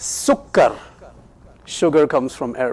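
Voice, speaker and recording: The speaker has a Pakistani accent, with noticeable background noise behind the voice. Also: man. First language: Urdu. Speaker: Islamic teacher. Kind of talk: lecture. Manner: interactive, asks audience questions.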